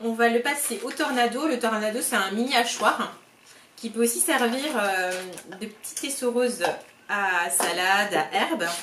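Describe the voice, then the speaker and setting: Amid noticeable background noise and audible room echo, a woman with a high voice speaks at a fairly slow pace. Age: 30s. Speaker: cooking product sales consultant. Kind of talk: cooking demonstration tutorial. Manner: casual, hesitant with frequent fillers.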